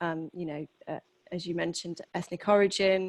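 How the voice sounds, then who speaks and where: A woman speaks in a British accent at a medium pitch. Her intonation is monotone and flat. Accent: noticeable British. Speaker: HR executive. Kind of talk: interview. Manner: hesitant, many fillers.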